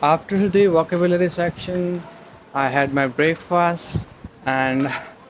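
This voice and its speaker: A high-pitched male voice with fairly even intonation and noticeable background noise. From India, Gujarat (Surat). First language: Gujarati (speaking Hindi). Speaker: civil services exam aspirant vlogger. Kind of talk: casual vlog narration, Hindi-English mix.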